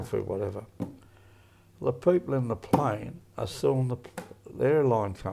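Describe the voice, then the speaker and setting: With noticeable background noise behind him, a man of medium pitch speaks with lively intonation and long, frequent pauses. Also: moderate pace. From Australia. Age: 80s+. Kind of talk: interview answer.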